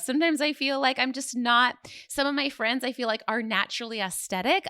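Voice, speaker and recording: A woman speaks in a raised, projected voice at a very fast pace. Her pitch is high and her tone bright and sharp. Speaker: podcast host and business coach. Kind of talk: solo podcast monologue. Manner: casual, rambling with fillers.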